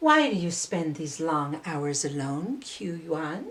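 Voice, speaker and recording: In a put-on character voice, a woman speaks fairly slowly at a very deep, low pitch. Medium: read story.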